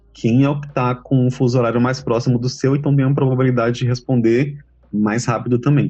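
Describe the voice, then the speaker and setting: A somewhat breathy man at a fairly quick pace, monotone and flat in intonation, with very even loudness. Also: medium pitch for a man. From Bahia, Feira de Santana. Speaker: translator. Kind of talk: interview.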